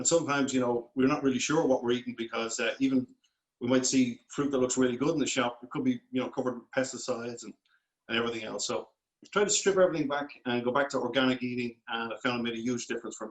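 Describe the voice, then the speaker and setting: A man with a Dublin accent speaks at a very fast pace with a medium pitch. His intonation is fairly even, with big swings in loudness. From Ireland, Dublin. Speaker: food company founder. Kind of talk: interview.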